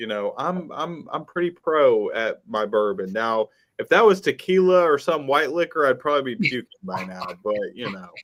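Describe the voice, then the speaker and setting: A man with very wide pitch swings in a strong Southern US accent. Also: moderate pace, hardly any pauses. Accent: very deep Southern. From US South. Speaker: musician. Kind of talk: casual chat. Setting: live stream. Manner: slurred enunciation.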